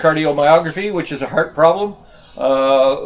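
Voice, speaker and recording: A man with an Ottawa Valley accent speaks at a fairly slow pace and a fairly high pitch. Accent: Canadian (Ottawa Valley). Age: 60s. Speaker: retired expat vlogger. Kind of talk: casual vlog monologue. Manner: halting, many fillers; relaxed, laid-back.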